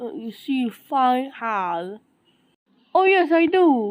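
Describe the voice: In a cartoonish character voice, a woman speaks at a high pitch. She goes very slowly, with big pitch swings.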